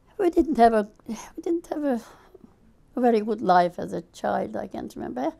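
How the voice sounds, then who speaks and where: A woman with a Hungarian accent speaks at a moderate pace, her pitch fairly high. Her tone is dark and mellow, with some vocal fry. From Hungary. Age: 70s. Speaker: refugee interviewee. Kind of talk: interview testimony.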